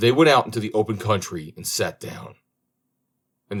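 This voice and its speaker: A somewhat breathy man's voice on a very clean recording with a silent background. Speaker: audiobook reader. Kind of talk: storybook audiobook reading.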